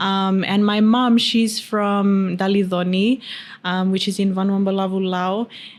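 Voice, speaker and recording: Very slowly, a woman speaks at a medium pitch in a monotone, flat intonation. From Fiji. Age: 20s. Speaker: beauty pageant winner. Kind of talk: interview.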